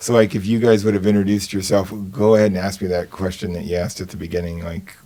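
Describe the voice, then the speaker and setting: A man's fairly low voice at a very fast pace, over noticeable background noise. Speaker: speech pathologist. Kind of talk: interview conversation. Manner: halting.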